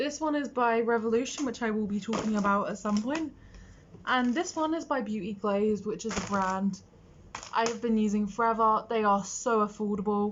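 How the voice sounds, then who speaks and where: With a British accent, a woman speaks at a moderate pace in a fairly high, somewhat breathy voice with ordinary pitch variation. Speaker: makeup artist. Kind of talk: tutorial. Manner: casual, chatty.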